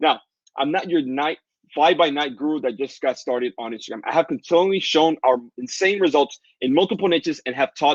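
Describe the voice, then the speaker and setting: Dry and close with no echo, the speech comes in a Dominican accent at a very fast pace with ordinary pitch variation. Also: man. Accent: Dominican Spanish accent, non-native English. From Dominican Republic. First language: Spanish. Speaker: online business coach. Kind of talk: live webinar sales pitch. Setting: livestream. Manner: animated.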